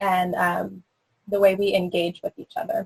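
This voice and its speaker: Somewhat breathy and medium in pitch, a woman talks at a moderate pace in a dry, close sound with no echo. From Northern California, Sonoma County. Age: 20s. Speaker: city council candidate. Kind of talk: candidate forum answer.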